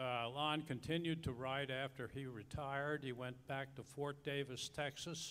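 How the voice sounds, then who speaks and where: A man's fairly high voice at a moderate pace, monotone and flat in intonation, with hardly any pauses. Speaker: society member giving tribute. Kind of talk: audience comment, tribute.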